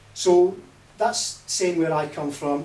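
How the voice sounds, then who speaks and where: A man speaks at a moderate pace over noticeable background noise, with audible echo in the room. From Scotland. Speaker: party leadership candidate. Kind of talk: campaign speech. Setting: hustings event with audience.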